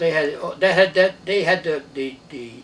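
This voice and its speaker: A man with an American accent, over noticeable background noise. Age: 90s. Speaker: war veteran. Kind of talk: oral history interview. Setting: at home.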